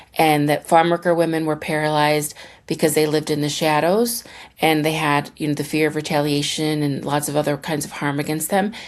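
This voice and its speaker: Recorded very cleanly against a silent background, a woman with an American accent talks in a very deep, low pitch with fairly even intonation. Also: fairly quick pace. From Fremont, Ohio. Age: 40s. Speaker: civil rights attorney and activist. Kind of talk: interview answer.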